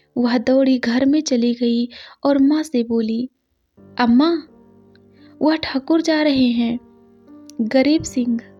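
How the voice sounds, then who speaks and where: With music in the background, a woman speaks at a high pitch, leaving long, frequent pauses. Her loudness stays very even. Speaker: story narrator. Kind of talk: read story.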